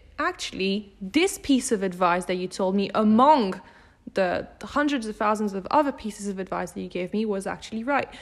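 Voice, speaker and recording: A woman talks at a moderate pace with ordinary pitch variation. Hers is a normal speaking voice. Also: medium pitch for a woman. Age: 20s. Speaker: podcast host and company CEO. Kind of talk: casual interview. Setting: in person, on a couch.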